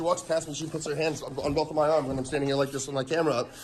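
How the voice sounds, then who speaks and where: Noticeable background noise sits behind a man speaking at a fairly high pitch with fairly even intonation. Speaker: first amendment auditor. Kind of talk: heated argument. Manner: loud; agitated.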